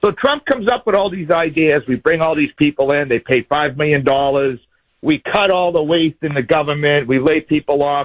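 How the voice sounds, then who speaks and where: This man has a normal speaking voice, fairly high in pitch, with ordinary pitch variation, a moderate pace and very even loudness. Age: 60s. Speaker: caller. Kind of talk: call-in talk radio discussion.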